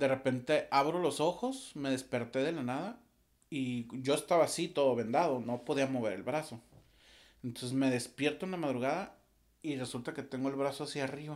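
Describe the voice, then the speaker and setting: Over a quiet background, a man with a fairly high pitch speaks in a calm tone at a moderate pace, with ordinary pitch variation. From Mexico, Torreón, Coahuila; Coahuila, Mexico. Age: 40s. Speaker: musician and audiovisual producer; podcast guest. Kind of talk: casual interview. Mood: relaxed, reflective storytelling. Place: studio. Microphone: studio mic.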